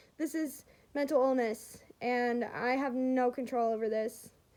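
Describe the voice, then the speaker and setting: A woman speaks at a high pitch. Her intonation stays fairly even. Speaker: vlogger sharing mental health story. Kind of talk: casual vlog talk to camera. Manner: loud; rambling, halting with fillers.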